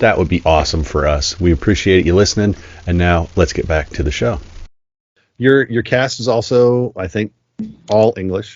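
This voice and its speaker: With lively intonation, a man speaks at a very deep, low pitch. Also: moderate pace. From US, moved around a lot. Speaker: podcast host. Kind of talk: interview; podcast promo.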